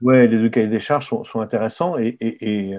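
The tone is dark and mellow. It belongs to a man. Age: 60s. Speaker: retired wine journalist and author. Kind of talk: interview. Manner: halting, many repetitions.

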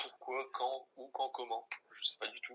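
A man at a moderate pace. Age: 20s. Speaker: basketball fan account manager. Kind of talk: casual chat.

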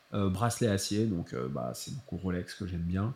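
With lively intonation and a dark, mellow tone, a man speaks at a fairly slow pace. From France, Paris. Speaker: watch YouTuber. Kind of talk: casual chat. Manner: unfiltered, uninhibited tone.

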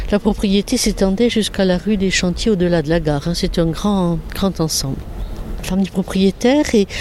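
Over noticeable background noise, a woman speaks with lively intonation at a medium pitch. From southwestern France. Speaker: Protestant nun, prioress. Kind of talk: interview on a guided visit. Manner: halting, with repetitions.

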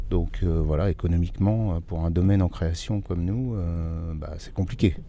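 The man speaks in a dark, mellow tone. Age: 50s. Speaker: winegrower. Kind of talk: interview.

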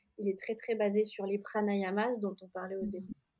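A woman speaks with a fairly high pitch. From France, Jura. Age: 30s. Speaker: yoga teacher and studio founder. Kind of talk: interview.

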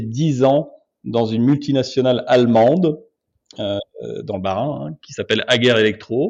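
A man speaks with ordinary pitch variation. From France, Alsace (Obernai). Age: 40s. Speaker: entrepreneur, marketing agency founder. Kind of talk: interview.

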